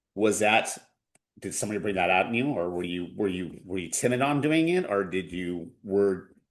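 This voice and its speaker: A man at a moderate pace, fairly low in pitch with lively intonation. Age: 40s. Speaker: punk rock drummer. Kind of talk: casual chat. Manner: halting, many repeated words.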